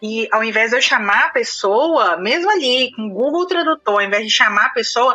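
A high-pitched woman's voice with lively intonation, at a moderate pace with hardly any pauses. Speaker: IT recruiter living abroad. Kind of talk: casual chat.

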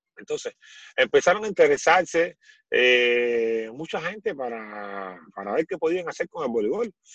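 At a fairly slow pace, a man talks with a fairly high pitch and very wide pitch swings. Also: dry, close sound with no echo. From Cuba. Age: 40s. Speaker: former volleyball player. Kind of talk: interview.

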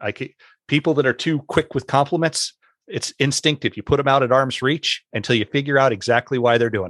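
With an unremarkable speaking voice, a man talks at a medium pitch with ordinary pitch variation in a dry, close sound with no echo. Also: fairly quick pace. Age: 40s. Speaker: teacher and podcast host. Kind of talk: casual chat.

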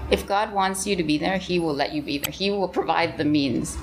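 A woman with an American accent talks at a fairly quick pace in a medium pitch. Noticeable background noise is present. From mixed: Canada, California, Taiwan, Hong Kong. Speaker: missionary. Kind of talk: casual chat. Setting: church office.

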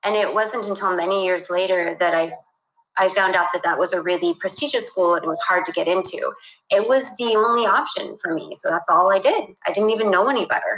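At a fairly quick pace, a woman talks in a normal speaking voice with medium pitch and ordinary pitch variation. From California, US (San Luis Obispo). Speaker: animation director. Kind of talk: casual interview. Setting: remote call from home office.

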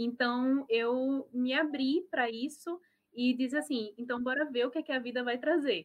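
A woman's high-pitched voice comes through at an even, moderate speed. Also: ordinary pitch variation. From Brazil, Natal (Rio Grande do Norte). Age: 20s. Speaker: restaurant owner, biologist. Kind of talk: online panel talk.

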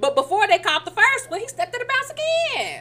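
A woman uses a raised, projected voice with a playful tone and very wide pitch swings. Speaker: podcast co-host. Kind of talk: live sports commentary, play-by-play style reaction to a game clip, mixed with banter. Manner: animated, excited, exclaiming ('Oh Lord') in quick reactive bursts; playful, teasing back-and-forth with co-host.

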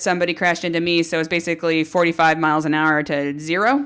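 A woman speaks at a fairly low pitch with a Californian accent. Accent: Californian American. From US, central coast of California. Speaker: pro cyclist. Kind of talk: casual chat.

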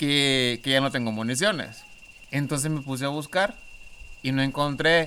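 A man speaks with a Honduran accent. His pace is moderate. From Honduras. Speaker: podcast guest. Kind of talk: casual chat.

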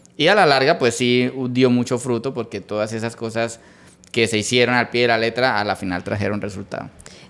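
A man talks at a fairly quick pace in a medium pitch, with ordinary pitch variation. He has a plain, everyday voice. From Colombia, Santander (Bucaramanga). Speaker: entrepreneur, electronics repair business owner. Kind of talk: interview.

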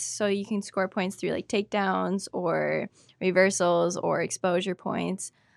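A woman with an Upper Midwest accent talks at a fairly slow pace. Her pitch is medium and her intonation fairly even. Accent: Upper Midwest American. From Wisconsin (Spooner). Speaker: wrestler. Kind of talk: casual interview.

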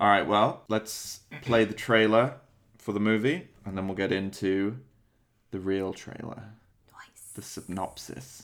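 A man with a normal speaking voice talks at a fairly slow pace. His pitch is fairly low and his intonation fairly even. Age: 30s. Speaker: movie podcast host. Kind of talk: casual chat.

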